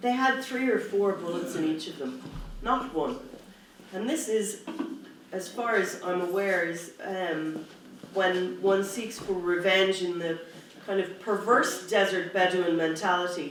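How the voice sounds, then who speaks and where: The voice carries an Irish accent. Its pace is fairly slow. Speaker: human rights activist. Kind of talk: conference speech.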